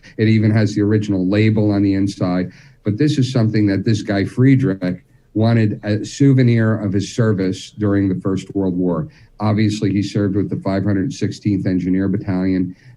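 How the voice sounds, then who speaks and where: With a New Jersey accent, a man speaks in a dark, mellow tone at a fairly low pitch, his intonation fairly even. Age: 50s. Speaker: militaria expert. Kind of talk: casual chat.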